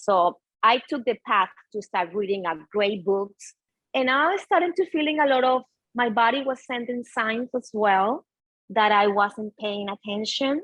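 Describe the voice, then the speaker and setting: A woman's fairly high voice with a Spanish accent. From Venezuela. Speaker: yoga and mindfulness teacher. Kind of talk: interview conversation.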